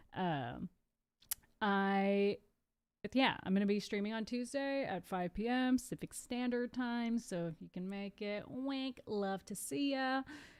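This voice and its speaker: A woman speaks with a slight Californian accent. Her fairly high pitch moves with ordinary variation. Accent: slight California. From Southern California. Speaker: live streamer. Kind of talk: casual live stream chat. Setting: live stream. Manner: animated.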